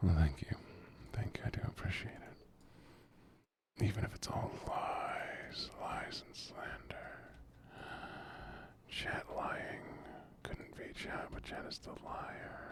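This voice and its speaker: Someone whispers at a very slow pace. Long, frequent pauses break up the speech. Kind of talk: casual livestream gaming chat. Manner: soft-spoken, low energy.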